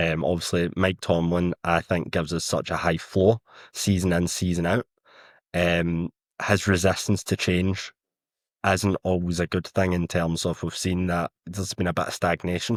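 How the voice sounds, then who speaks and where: At a moderate pace and with monotone, flat intonation, the voice comes through in a very clean recording with a silent background and a dry, close sound with no echo. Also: man, very deep, low pitch for a man. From Scotland. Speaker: football writer. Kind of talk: podcast discussion.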